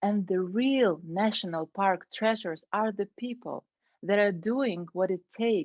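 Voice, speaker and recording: A woman with a Ukrainian accent speaks at a medium pitch and a fairly slow pace, with ordinary pitch variation. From Ukraine. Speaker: Toastmasters club member. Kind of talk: prepared speech.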